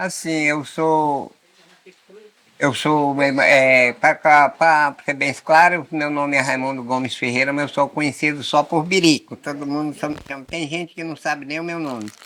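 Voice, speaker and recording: In a monotone, flat delivery, a man speaks at a fairly slow pace with a fairly high pitch and a bright, sharp tone. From Brazilian Amazon, Amazonas riverside. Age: 70s. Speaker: rural community elder. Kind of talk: casual interview. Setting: indoors in Amazon village, rain on roof.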